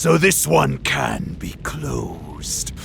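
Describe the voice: Using a put-on character voice with vocal fry, a man speaks at a very slow pace and medium pitch, making big pitch swings over clear background music.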